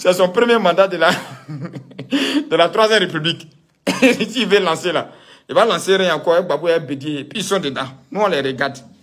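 A man's high-pitched voice at a moderate pace, set against a quiet background. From Ivory Coast. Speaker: political commentator. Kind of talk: political rant. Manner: animated. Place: home room. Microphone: phone near.

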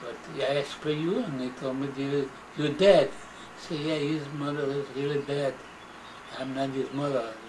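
Against noticeable background noise, a man with a non-native accent talks at a moderate pace, his fairly high pitch carrying fairly even intonation. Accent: non-native English, immigrant. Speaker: grandfather recounting life story. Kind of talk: interview answer. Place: home room. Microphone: old recording.

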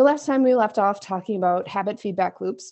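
At a moderate pace and with ordinary pitch variation, a woman talks against a quiet background. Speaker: podcast co-host. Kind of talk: casual podcast chat. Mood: playful, laughing. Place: home room. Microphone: earbuds.

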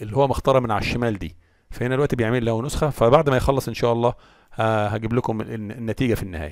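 A man's medium-pitched voice at a very fast pace. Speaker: tech tutorial maker. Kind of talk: tutorial. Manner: casual.

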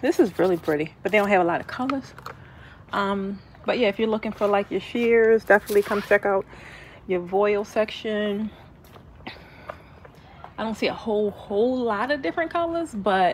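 A woman speaks at a moderate pace with long, frequent pauses. Light background noise can be heard. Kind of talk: casual vlog chat. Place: shop. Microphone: phone near.

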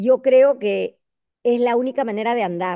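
In a high pitch with a dark, mellow tone, a woman speaks over a quiet background, the sound dry with no echo. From Peru. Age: 60s. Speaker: congresswoman; guest. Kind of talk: panel discussion. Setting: video call. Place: hall. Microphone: video call.

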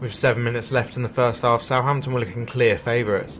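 Noticeable background noise sits behind this man. He talks at a very fast pace and a medium pitch. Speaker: match report narrator. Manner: measured, even and formal, steady newsreader-like delivery.

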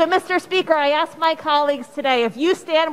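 At a high pitch, a woman speaks at a moderate pace. Her pitch variation is ordinary. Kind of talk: floor speech. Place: hall. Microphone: podium.

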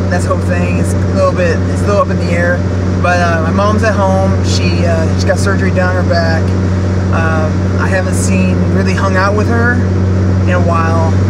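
A man talks at a moderate pace, the sound dry with no echo but loud background noise behind him. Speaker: vlogger. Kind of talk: casual vlog monologue. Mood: reflective, candid. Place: car. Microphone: phone near.

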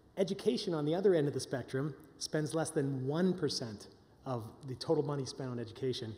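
A man speaks with lively intonation and a dark, mellow tone. His voice is somewhat breathy. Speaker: session host. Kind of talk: conference introduction talk. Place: hall. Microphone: podium.

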